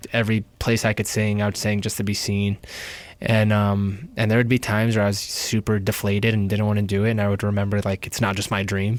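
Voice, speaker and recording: A man with a New York accent speaks very fast, in a fairly low pitch with monotone, flat intonation. The recording is very clean, with a silent background. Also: very even loudness. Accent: New York American. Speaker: singer. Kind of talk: casual interview.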